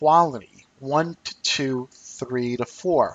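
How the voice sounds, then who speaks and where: A man with an unremarkable speaking voice, fairly high in pitch, with ordinary pitch variation. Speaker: trading educator, company CEO. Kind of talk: webinar lecture.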